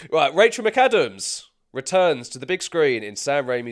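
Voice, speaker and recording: On a very clean recording with total background silence, the talking proceeds at a moderate pace. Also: man. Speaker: film podcast co-host. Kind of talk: casual podcast chat.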